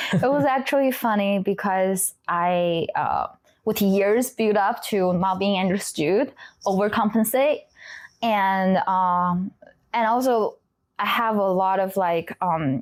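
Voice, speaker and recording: A woman's medium-pitched voice with a Chinese accent, very slow pace, ordinary pitch variation and very even loudness, on a very clean recording with a silent background. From China. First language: Mandarin Chinese. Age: 20s. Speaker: trauma therapist. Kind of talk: interview. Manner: halting.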